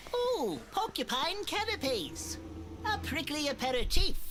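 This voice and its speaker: Loud background noise surrounds a put-on character voice speaking at a moderate pace. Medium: video game. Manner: wordy, genteel, dry.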